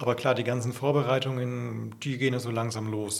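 A fairly quick pace, with audible room echo. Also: man. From Franconia, Bavaria (Coburg region). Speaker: pastor. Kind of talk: casual interview.

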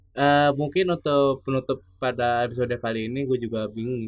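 A man is talking. He moves at a moderate pace. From Bekasi, Indonesia. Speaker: podcast host. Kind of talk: casual chat. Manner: animated.

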